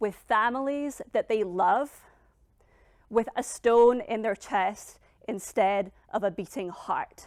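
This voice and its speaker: A woman speaks with a fairly high voice and ordinary pitch variation. Her pace is very slow. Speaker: public speaking coach and author, founder of a personal-growth brand. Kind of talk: personal story told on stage, TED-style talk. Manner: forceful, direct, defiant.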